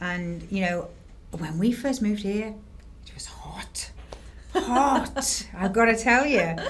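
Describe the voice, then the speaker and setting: A woman with an English accent talks at a very slow pace with long, frequent pauses. Her loudness swings widely, and room echo is audible. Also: medium pitch for a woman. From northern England, Harrogate, North Yorkshire. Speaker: realtor. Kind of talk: casual chat.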